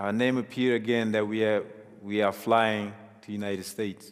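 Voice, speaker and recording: This man has a fairly low voice with monotone, flat intonation. His pace is moderate. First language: African mother tongue (not English). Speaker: refugee sharing life story. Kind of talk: testimony.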